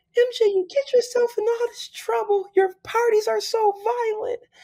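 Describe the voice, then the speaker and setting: The female-sounding voice is a put-on character voice. Its pitch is extremely high. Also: moderate pace. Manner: scolding.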